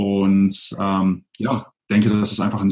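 A man speaks at a fairly low pitch. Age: 30s. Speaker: blogger and digital nomad. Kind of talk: interview.

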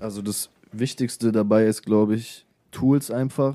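In a very clean recording with a silent background, a man speaks with fairly even intonation. His voice is fairly low in pitch, with a dark, mellow tone. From Hannover area, northern Germany. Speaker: musician and videographer. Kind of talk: casual radio interview. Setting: radio studio.

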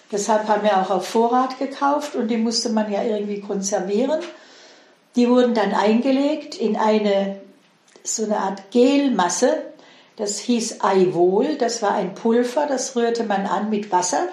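With audible room echo and noticeable background noise, a woman speaks at a fairly slow pace in a fairly high pitch, her pitch varying in an ordinary way. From Swabia, Heilbronn district, southern Germany. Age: 70s. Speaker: interviewee sharing childhood memories. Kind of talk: casual interview.

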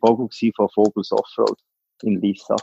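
The voice has a dark, mellow tone and fairly even intonation, in a dry, close sound with no echo. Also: man. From Switzerland, canton Solothurn. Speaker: business owner. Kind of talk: interview. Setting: phone call.

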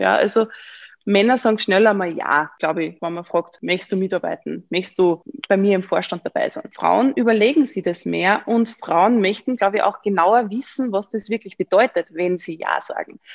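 A woman's speech at a middling tempo, dry and close with no echo. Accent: Upper Austrian. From Upper Austria (Mühlviertel). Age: 20s. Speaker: member of parliament. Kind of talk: interview. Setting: video call.

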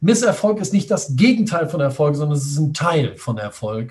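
A man with lively intonation, at a fairly slow pace. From Düsseldorf, western Germany. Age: 40s. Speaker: online entrepreneur. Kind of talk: interview.

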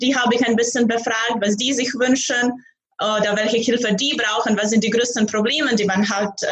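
Speaking fairly quickly with a Croatian accent, a woman keeps a fairly high pitch, fairly even intonation and very even loudness. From Croatia, Zagreb. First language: Croatian (speaking German). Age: young. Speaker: startup founder. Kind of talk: interview.

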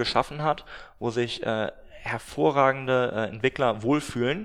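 This man has a plain, everyday voice, medium in pitch, with fairly even intonation. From northern Germany, Glückstadt on the Elbe. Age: 20s. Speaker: startup founder. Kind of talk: interview. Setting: office.

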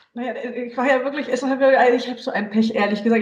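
A woman's fairly even intonation comes through with audible room echo and noticeable background noise. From western Germany (Hesse, Saarland). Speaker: journalist and author. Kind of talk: casual interview. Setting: video call.

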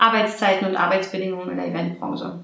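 A woman is speaking over noticeable background noise. Audible room echo surrounds her voice. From Berlin, Germany. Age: 30s. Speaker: event manager. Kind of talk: interview.

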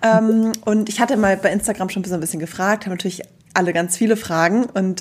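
Her medium-pitched voice moves at a very fast pace as this woman speaks. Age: 40s. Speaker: podcast host and yarn shop owner. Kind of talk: casual chat.

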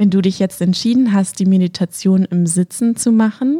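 A woman speaks in a dark, mellow tone. Her voice also sounds gentle and warm. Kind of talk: guided meditation. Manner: slow, calm, soothing, with long pauses; gentle, warm, intimate.

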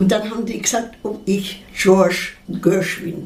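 A medium-pitched woman's voice amid audible room echo and noticeable background noise. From Munich, Bavaria. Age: 80s+. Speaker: actress and singer. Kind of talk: interview testimony.

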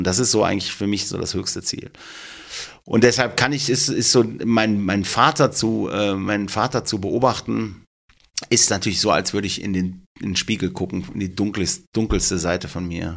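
Using a plain, everyday voice, a man talks at a moderate pace with a fairly low pitch and ordinary pitch variation. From Germany, Duisburg (Ruhr area). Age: 50s. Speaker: tattoo artist. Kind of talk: casual chat.

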